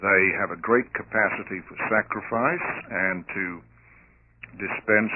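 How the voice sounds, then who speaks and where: Very slow speech from a man with a non-native accent, fairly low in pitch, with ordinary pitch variation. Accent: noticeable foreign accent (non-American). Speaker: theologian and lecturer on communism. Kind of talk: radio interview.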